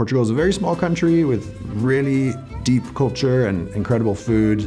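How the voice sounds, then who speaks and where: Music plays in the background as a man speaks. His intonation is lively, his loudness very even. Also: medium pitch for a man, moderate pace. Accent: French. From France (Paris area). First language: French. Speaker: real estate agent. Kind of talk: casual talk to camera.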